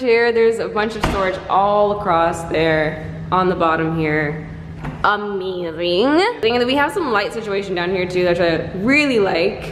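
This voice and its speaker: A woman's voice with music in the background and audible echo from the room. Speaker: vlogger. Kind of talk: casual vlog chat. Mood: happy, excited. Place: kitchen. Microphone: phone near.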